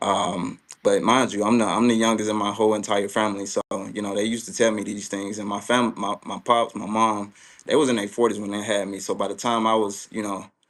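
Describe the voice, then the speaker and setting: The speech moves at a fairly quick pace with monotone, flat intonation. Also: man, fairly low pitch for a man. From US South, Mississippi. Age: 20s. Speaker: tech entrepreneur. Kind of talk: interview. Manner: hesitant, many fillers.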